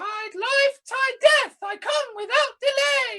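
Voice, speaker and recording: A squeaky, extremely high put-on character voice at a very slow pace. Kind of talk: comic overacting. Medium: stage play.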